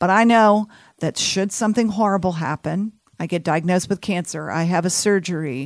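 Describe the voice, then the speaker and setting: A woman with an American accent has a fairly low pitch, ordinary pitch variation and a moderate pace, an ordinary speaking voice. The recording is very clean with a silent background, dry and close with no echo. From Texas, Houston. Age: 50s. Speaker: health insurance advisor. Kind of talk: radio interview. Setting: studio.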